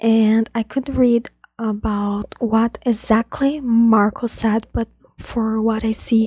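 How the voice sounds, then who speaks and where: Soft-spoken, a woman talks at a fairly high pitch with monotone, flat intonation. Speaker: F1 commentary YouTuber. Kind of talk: casual video commentary. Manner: halting.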